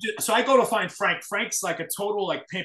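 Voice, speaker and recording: In a raised, projected voice, a man speaks with a bright, sharp tone at a high pitch, his pitch varying in an ordinary way amid audible room echo. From New York City. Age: 40s. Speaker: hardcore scene event promoter. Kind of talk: casual chat. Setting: video call. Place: home room. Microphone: video call.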